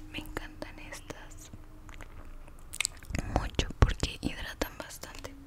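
The speaker whispers very slowly, with long pauses coming often. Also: woman. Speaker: ASMR creator. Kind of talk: ASMR roleplay, soft personal-attention talk; soft-spoken ASMR roleplay. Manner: soft-spoken, gentle, whispery. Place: home room. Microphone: studio mic.

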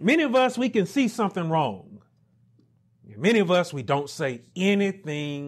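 A man's voice with very wide pitch swings against a quiet background. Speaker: minister. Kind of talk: sermon preaching. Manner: emphatic, rhetorical. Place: home room.

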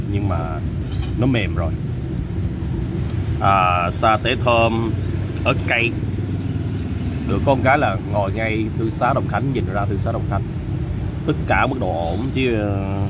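Fairly slow speech with long, frequent pauses, a dry sound with no echo and loud background noise. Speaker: food vlogger. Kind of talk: food review commentary. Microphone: phone near.

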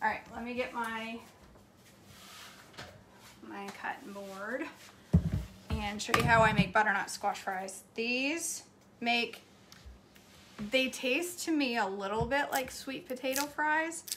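Speaking very slowly with long, frequent pauses, a woman shows ordinary pitch variation and big swings in loudness over noticeable background noise. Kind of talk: casual vlog chat. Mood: relaxed, self-deprecating. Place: kitchen. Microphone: phone near.

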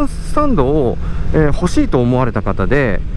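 A man talks at a fairly quick pace in a dark, mellow tone with very wide pitch swings. The sound is dry with no echo, with light background noise. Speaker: motovlogger rider. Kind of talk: casual vlog chat. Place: motorbike. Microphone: helmet.

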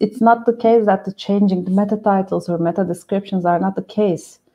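The voice carries a dark, mellow tone at a moderate pace with ordinary pitch variation. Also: woman. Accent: Turkish. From Turkey. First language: Turkish. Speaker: SEO specialist. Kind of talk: live webinar discussion. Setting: video call. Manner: excitable. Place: home room. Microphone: video call.

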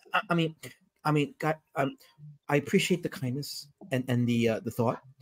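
A man's fairly high, somewhat breathy voice with lively intonation. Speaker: comic book creator. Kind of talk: casual chat. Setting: video call.

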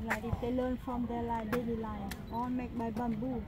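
Loud background noise accompanies speech delivered at a fairly slow pace. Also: woman. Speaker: tour guide. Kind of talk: guided tour explanation. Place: open country.

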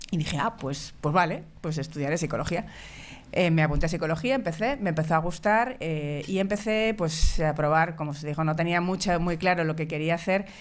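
A woman speaks at a fairly quick pace in a fairly low voice, with ordinary pitch variation. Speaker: psychologist in industry; speaker. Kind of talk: conference talk. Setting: stage with audience. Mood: relaxed, friendly. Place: meeting room. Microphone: podium.

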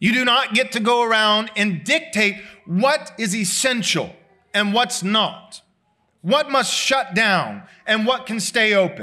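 A man uses a raised, projected voice with a bright, sharp tone and high pitch. He speaks at a fairly slow pace with ordinary pitch variation against a quiet background. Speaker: pastor. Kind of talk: sermon. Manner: loud. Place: church. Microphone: podium.

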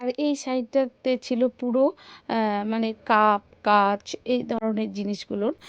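Here a woman speaks in a West Bengal accent at a fairly high pitch. Her intonation is fairly even. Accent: West Bengal Bengali. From West Bengal, India. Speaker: family vlogger. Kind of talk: vlog narration.

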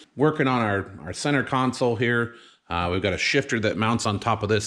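A man speaks with a fairly low pitch at a moderate pace. The background is quiet. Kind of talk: casual vlog chat. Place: garage. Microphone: phone near.

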